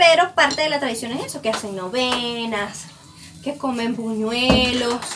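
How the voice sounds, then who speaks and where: Music plays in the background as a woman speaks at a fairly slow pace. Her pitch is high, with ordinary pitch variation. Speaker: podcast co-host. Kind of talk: casual chat.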